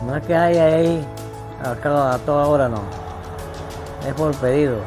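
Clear music plays in the background as the speaker goes at a fairly slow pace. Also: man. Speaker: retired builder and family snack-shop owner. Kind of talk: interview answer. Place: home room. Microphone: lapel.

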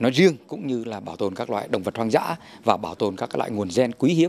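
Lively intonation from a man at a very fast pace. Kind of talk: interview answer. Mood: friendly, smiling. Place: forest. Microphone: handheld.

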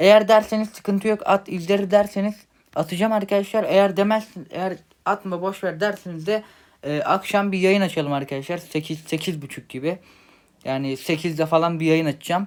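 Over a silent background on a very clean recording, a man talks at a moderate pace in a high pitch with ordinary pitch variation. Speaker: mobile gaming YouTuber. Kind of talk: channel announcement. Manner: casual, hesitant with fillers.

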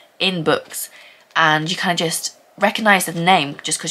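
The woman speaks at a fairly low pitch with fairly even intonation. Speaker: book vlogger. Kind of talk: casual vlog chat, book review. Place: home room. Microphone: phone near.

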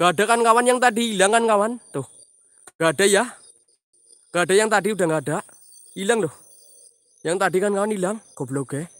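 A high-pitched man talks at a very fast pace yet with long, frequent pauses, showing ordinary pitch variation in a dry sound with no echo. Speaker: paranormal explorer streamer. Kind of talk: live stream night exploration. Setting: outdoors at night after rain. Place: forest. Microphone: phone near.

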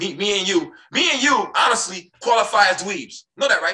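A man speaks in an American accent with an animated tone. The background is quiet. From US Midwest. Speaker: podcast host; podcast guest. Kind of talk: heated debate. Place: home room. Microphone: video call.

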